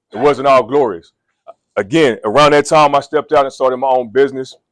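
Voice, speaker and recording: Recorded very cleanly with a silent background and a dry, close sound with no echo, a man speaks fairly quickly at a fairly high pitch. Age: 40s. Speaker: coach and motivational speaker. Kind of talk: motivational talk. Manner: loud.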